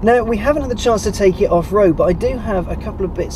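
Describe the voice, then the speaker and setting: A man speaks over noticeable background noise. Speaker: car reviewer. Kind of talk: car review presenting. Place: car.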